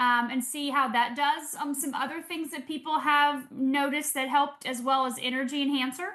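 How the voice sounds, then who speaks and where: Raised and projected, a woman's high-pitched voice has a bright, sharp tone, fairly even intonation and hardly any pauses. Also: moderate pace. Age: 50s. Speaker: doctor and product presenter. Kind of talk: Q&A on a product call.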